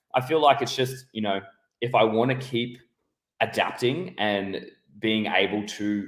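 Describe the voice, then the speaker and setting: This man has an Australian accent and a fairly low pitch. His pitch varies in an ordinary way. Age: 30s. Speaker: podcast host. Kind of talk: casual interview.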